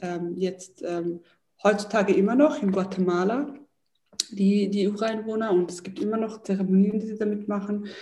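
A woman with a medium pitch speaks at a moderate pace in a dark, mellow, somewhat breathy tone with fairly even intonation. Audible room echo is present. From Switzerland, Zurich. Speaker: entrepreneur and yoga teacher. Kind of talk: interview.

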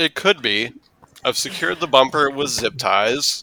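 This is a man speaking. His pace is very slow. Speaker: podcast co-host. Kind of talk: casual chat. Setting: video call.

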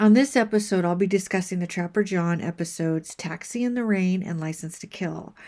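A woman's medium-pitched voice at a fairly quick pace, with hardly any pauses, big swings in loudness, ordinary pitch variation and music in the background. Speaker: podcast host. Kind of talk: podcast monologue.

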